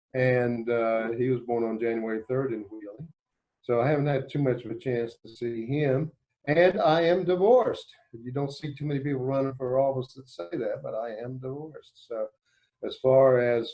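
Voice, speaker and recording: A man with a West Virginia accent speaks at a moderate pace in a medium pitch, with ordinary pitch variation and big swings in loudness. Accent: Appalachian West Virginia. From West Virginia (Clay/Braxton County). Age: 60s. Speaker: judge and court candidate. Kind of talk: interview. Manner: conversational, hesitant fillers.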